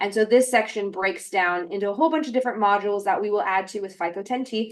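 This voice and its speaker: This woman's voice sits at medium pitch with ordinary pitch variation, and she talks at a very fast pace. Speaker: webinar presenter. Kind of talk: webinar presentation.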